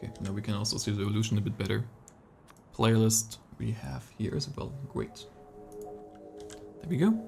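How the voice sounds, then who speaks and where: Music in the background behind a man's fairly low voice, fairly quick with long, frequent pauses and normal pitch movement. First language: not English. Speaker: esports caster. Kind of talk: live commentary. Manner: casual, halting.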